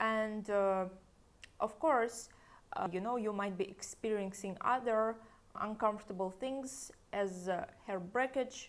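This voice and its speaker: A woman speaks at a fairly slow pace and a fairly high pitch with ordinary pitch variation and long, frequent pauses. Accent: Russian. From Russia. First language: Russian. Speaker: hair stylist. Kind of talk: tutorial; casual chat. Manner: unscripted, hesitant.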